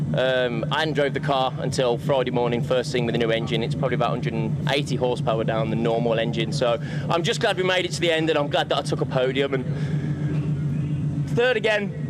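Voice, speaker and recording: Fairly quick speech in a Birmingham accent, hardly any pauses, very even loudness and ordinary pitch variation, with noticeable background noise and audible room echo. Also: man, fairly high pitch for a man. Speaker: gymkhana driver. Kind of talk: post-race interview. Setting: outdoor pits at racing event.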